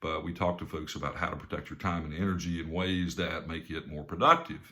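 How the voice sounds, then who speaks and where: A man talks at a fairly quick pace in a very deep, low pitch. His tone is bright and sharp, with monotone, flat intonation. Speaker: business coach and speaker. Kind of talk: talk to camera with personal story. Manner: casual, conversational with fillers.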